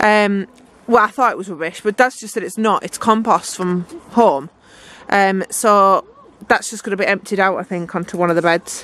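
With ordinary pitch variation, a woman speaks at a moderate pace in a medium pitch and a fairly bright tone.

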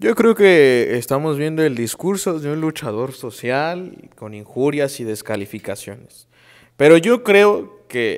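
A man speaks at a very slow pace with a fairly high pitch. His intonation is lively against a quiet background. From Mexico. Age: young. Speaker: political panelist; panelist. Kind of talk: heated debate; political panel debate. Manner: halting. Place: studio. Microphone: lapel.

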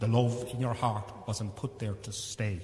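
A man with an Irish accent talks at a moderate pace in a fairly low pitch, his warm, dark, mellow tone somewhat breathy and his intonation fairly even, with audible room echo. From Ireland. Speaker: priest. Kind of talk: funeral homily and mass liturgy. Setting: church. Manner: warm, reminiscing, gently humorous about his late father; halting, with repeated false starts. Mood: warm, reminiscing. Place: church. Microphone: podium.

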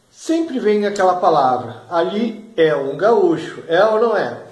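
Against a quiet background with audible room echo, a man speaks very slowly in a high pitch for a man. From Brazil, Porto Alegre (Rio Grande do Sul); Rio Grande do Sul, Brazil. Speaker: regional culture video blogger. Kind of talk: casual vlog monologue. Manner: animated. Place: home room. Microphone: phone near.

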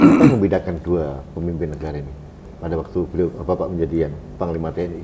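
A man talks at a very fast pace in a very deep, low pitch. His intonation stays fairly even over noticeable background noise. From Indonesia, East Java (Blitar); East Java, Indonesia. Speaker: online talk show host. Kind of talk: interview. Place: office.

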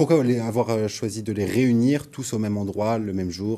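His voice is fairly low for a man, dark and mellow in tone, with ordinary pitch variation. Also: moderate pace.

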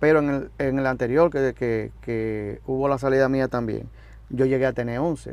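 A man at a moderate pace, fairly even in intonation, in a dry sound with no echo. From Dominican Republic. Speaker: musician, drummer. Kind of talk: interview. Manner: halting. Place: studio.

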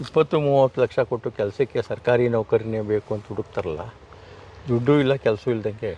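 Dry, close sound with no echo around a man's somewhat breathy, dark, mellow tone. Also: medium pitch for a man, ordinary pitch variation. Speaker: retired education officer and farmer. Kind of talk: interview.

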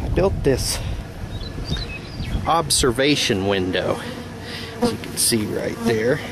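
A man at a very slow pace, dry sound with no echo, noticeable background noise. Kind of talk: casual tutorial. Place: open country. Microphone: phone near.

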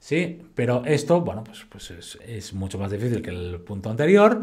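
Against a quiet background, a man speaks somewhat breathily with very wide pitch swings. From Spain. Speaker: fitness educator. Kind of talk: lecture. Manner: casual.

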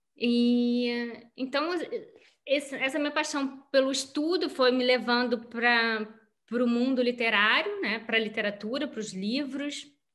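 A woman's high-pitched voice at a moderate pace over a quiet background. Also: ordinary pitch variation. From Rio de Janeiro, Brazil. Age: 40s. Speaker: writer; interviewee. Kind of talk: interview. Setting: video call. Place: home room. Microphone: video call.

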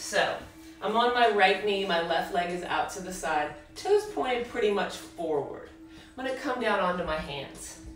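A woman speaks with audible room echo. Light background noise can be heard. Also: moderate pace. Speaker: fitness instructor. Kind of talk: workout instruction. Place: home room. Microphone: camera far.

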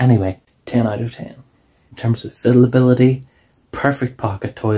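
Over a quiet background, a man speaks in a somewhat breathy voice with monotone, flat intonation. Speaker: toy reviewer. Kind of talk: casual review vlog chat. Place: home room. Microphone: phone near.

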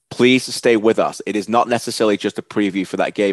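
A man with a northern English accent speaks at a fairly low pitch with fairly even intonation, the sound dry with no echo and the background quiet. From Northern England (Preston). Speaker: soccer broadcaster, interviewer. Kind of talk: podcast intro to camera. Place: home room. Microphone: headset.

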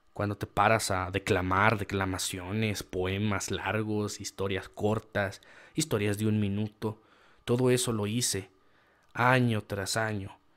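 With a north-central Mexican accent, a man speaks at a fairly slow pace and a fairly low pitch on a very clean recording with a silent background. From Mexico, rural San Luis Potosí. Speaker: writer and small business owner. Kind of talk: casual monologue to camera. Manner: animated.

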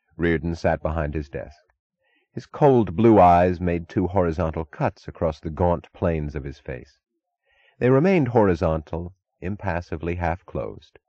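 A man with a very deep, low pitch speaks at a moderate pace in a calm tone with lively intonation, with a dry, close sound with no echo and a quiet background. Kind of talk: audiobook narration of a novel, reading dialogue aloud.

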